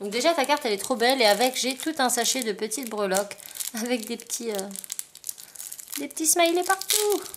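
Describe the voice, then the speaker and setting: A woman's high voice at a moderate pace, with very wide pitch swings, long, frequent pauses and noticeable background noise. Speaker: craft YouTuber. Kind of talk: casual haul video. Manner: animated.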